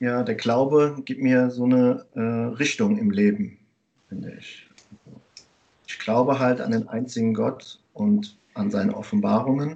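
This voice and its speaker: This man talks at a fairly slow pace in a medium-pitched voice. His pitch varies in an ordinary way while his loudness swings widely. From Germany. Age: 30s. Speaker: teacher. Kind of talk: interview. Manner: hesitant, many fillers.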